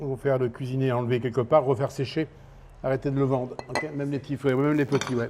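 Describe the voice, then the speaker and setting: Medium pitch defines this man's voice. His words come at a fairly quick pace. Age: 60s. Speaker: chef and fish sauce enthusiast. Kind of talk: documentary interview. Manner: halting.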